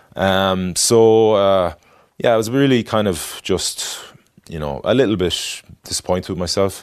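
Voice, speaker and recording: The delivery from this man is fairly slow. Ordinary pitch variation runs through his speech. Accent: west of Ireland. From Ireland, Galway City. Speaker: former rugby player and adventurer. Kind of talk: interview. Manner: halting, many fillers.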